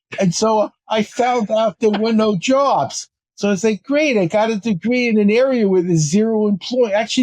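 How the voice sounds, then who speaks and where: A man with a high pitch speaks at a moderate pace in a dry, close recording with no echo. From US Northeast. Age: 70s. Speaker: speed reading teacher. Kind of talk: interview.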